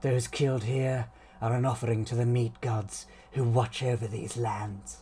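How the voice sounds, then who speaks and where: Using a put-on character voice at a medium pitch, a man talks at a moderate pace with clear background noise behind him. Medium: read story. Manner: reserved, dry, clipped.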